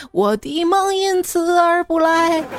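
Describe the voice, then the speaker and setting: A woman talks over crowd noise in the background. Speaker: radio host. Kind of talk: casual chat. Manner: animated.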